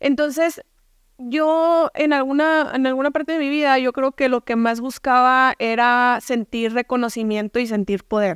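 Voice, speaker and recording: A woman's high voice with a northern Mexican accent, a fairly slow pace, ordinary pitch variation and very even loudness, in a dry sound with no echo against a quiet background. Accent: northern Mexican (Sonoran) Spanish. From Mexico, Hermosillo, Sonora; Sonora, Mexico. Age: 20s. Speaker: entrepreneur and speaker; speaker. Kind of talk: interview testimony. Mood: candid, reflective storytelling. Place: studio. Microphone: studio mic.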